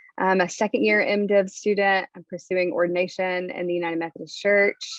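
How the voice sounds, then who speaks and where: In a Southern US accent, a woman speaks with fairly even intonation. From Alabama, Montgomery. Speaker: divinity student. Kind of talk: panel discussion.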